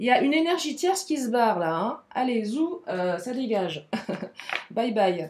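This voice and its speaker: A high-pitched woman's voice with very wide pitch swings, at a fairly slow pace. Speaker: tarot card reader. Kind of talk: tarot reading. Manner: animated.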